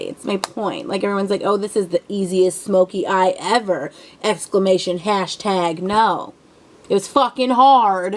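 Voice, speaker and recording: Her pitch medium and her pace moderate, a woman talks in an ordinary speaking voice with ordinary pitch variation. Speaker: beauty vlogger. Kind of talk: tutorial. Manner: casual, rambling with fillers.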